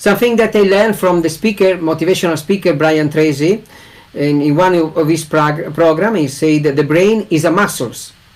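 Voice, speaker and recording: Delivered in an Italian accent, the speech moves at a moderate pace with ordinary pitch variation and very even loudness. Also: man, high pitch for a man. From Italy. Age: 40s. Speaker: English learner. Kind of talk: casual conversation in an online English lesson.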